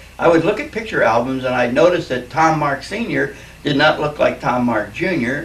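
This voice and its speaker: Noticeable background noise sits under a man's voice with an American accent. He talks at a moderate pace with a fairly high pitch. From Philadelphia, Pennsylvania. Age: 60s. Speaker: retired Navy veteran. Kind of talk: recorded life story for family. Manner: casual, reflective, with fillers.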